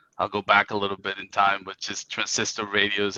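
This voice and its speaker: A man's fairly quick speech in a monotone with flat intonation. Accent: Spanish. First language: Spanish. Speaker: IT company CEO. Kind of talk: interview.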